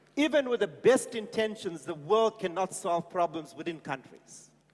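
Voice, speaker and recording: A man speaks at a moderate pace in a high pitch with lively intonation. Noticeable background noise sits behind him. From South Africa. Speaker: panel speaker, former government minister. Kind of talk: panel speech.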